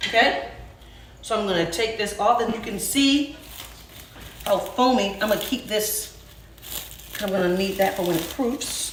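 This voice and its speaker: Over noticeable background noise and audible room echo, a woman speaks at a moderate pace and medium pitch with ordinary pitch variation and long, frequent pauses. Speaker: home cooking show host. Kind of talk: casual cooking tutorial. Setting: home kitchen.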